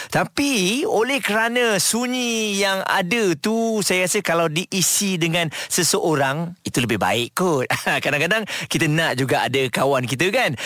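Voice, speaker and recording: A man speaks at a high pitch in a cheerful, bright and sharp tone. His pitch swings very widely while his loudness stays very even, at a fairly slow pace. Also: hardly any pauses. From Johor, Malaysia. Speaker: radio host. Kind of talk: casual radio chat. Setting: radio studio. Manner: cheerful, laughs often.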